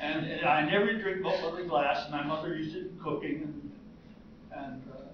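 A man with an American accent at a fairly quick pace, amid audible room echo and noticeable background noise. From United States. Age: 80s+. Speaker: retired heart surgeon, vegan; interviewee. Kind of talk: interview answer. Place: hall. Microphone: camera far.

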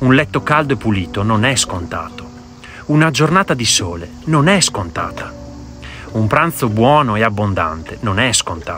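A man at a moderate pace, with very wide pitch swings, long and frequent pauses, a dry sound with no echo, and music in the background. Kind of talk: reflective monologue. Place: waterside. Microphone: phone near.

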